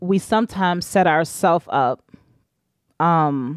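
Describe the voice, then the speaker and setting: Speaking very slowly, a woman with a fairly low pitch and an American accent uses ordinary pitch variation. The recording is very clean with a silent background, dry and close with no echo. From Richmond, Virginia, US. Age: 30s. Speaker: doula and breastfeeding support moderator. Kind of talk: casual interview chat. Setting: podcast recording.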